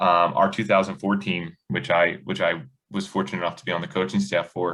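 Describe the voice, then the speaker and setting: A loud man with a very deep, low pitch, a bright, sharp tone, fairly even intonation and a fairly quick pace. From US Northeast, South Jersey. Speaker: high school basketball coach. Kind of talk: podcast interview.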